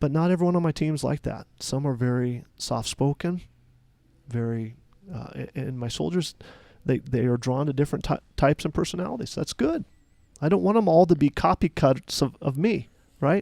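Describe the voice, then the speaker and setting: Speaking at a moderate pace, a man with a fairly high pitch and a dark, mellow tone uses lively intonation. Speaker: military chaplain. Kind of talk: casual chat. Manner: loud.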